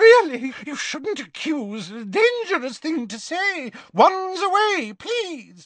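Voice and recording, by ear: A man puts on a character voice at an extremely high pitch. He goes slowly, with big pitch swings. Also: fairly bright tone.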